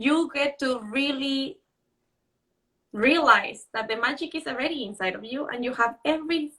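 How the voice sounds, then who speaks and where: Speaking in a Mexican accent, a woman has a high pitch and a bright, sharp tone. She keeps a moderate pace with ordinary pitch variation. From Mexico. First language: Spanish. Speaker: author and live show host. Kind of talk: Instagram live conversation. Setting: Instagram live video stream.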